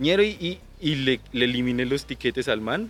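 With lively intonation and a medium pitch, a man talks in a normal speaking voice. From Colombia, Boyacá (Duitama). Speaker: call center agent. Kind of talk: casual chat. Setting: outdoors.

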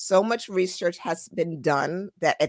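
The speech moves at a very slow pace with ordinary pitch variation. There is a slight Caribbean accent. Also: woman. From born in Trinidad, raised in US. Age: 40s. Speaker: financial advisor. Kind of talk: casual interview chat. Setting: video call.

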